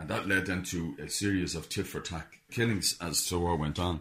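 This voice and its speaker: A man with an Irish accent speaks at a moderate pace, somewhat breathy, with ordinary pitch variation. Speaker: author. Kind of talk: radio interview.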